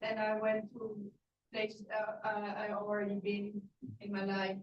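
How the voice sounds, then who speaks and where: A woman talks at a fairly slow pace in a fairly high pitch. Her voice is somewhat breathy. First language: not English. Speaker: class participant. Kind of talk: testimony. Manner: halting.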